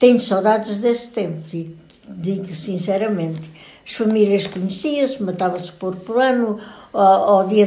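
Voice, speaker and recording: A woman speaks with a European Portuguese accent at a medium pitch and a moderate pace, with ordinary pitch variation. Background noise is noticeable. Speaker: grandmother recounting old village life. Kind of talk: interview answer.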